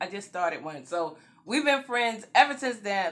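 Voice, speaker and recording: Her voice fairly high in pitch, a woman with an American accent talks in an animated tone with very wide pitch swings. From New York. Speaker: YouTube vlogger. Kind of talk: storytime vlog. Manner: casual.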